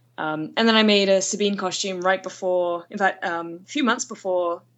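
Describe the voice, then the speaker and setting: With a British accent, a woman talks at a moderate pace with ordinary pitch variation. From Britain. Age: 30s. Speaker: artist and fan guest. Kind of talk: casual chat.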